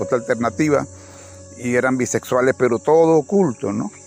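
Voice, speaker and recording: A man's medium-pitched voice at a moderate pace, with ordinary pitch variation and music in the background. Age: 60s. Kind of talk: religious reflection monologue. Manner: halting, with frequent restarts.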